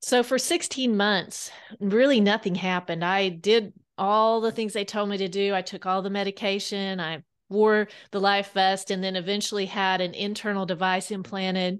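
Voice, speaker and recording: In an American accent, a woman with medium pitch speaks at a moderate pace with fairly even intonation, an unremarkable speaking voice against a quiet background. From Kansas. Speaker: author. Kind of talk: interview.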